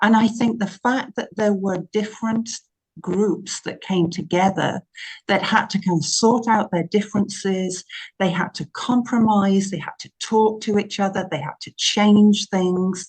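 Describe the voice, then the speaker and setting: A woman speaks at a medium pitch and a fairly slow pace, somewhat breathy. Her intonation is fairly even, but her loudness swings a lot. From England. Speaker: minister. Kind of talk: interview.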